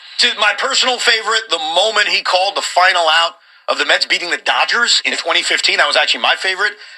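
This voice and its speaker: Over noticeable background noise, a man talks at a very fast pace with a high pitch and very even loudness. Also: ordinary pitch variation. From New York area. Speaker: sports radio host. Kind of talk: sports talk radio.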